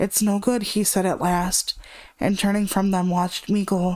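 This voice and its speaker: A woman's normal speaking voice at a moderate pace with fairly even intonation, on a very clean recording with a silent background. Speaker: horror story narrator. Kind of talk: horror story reading.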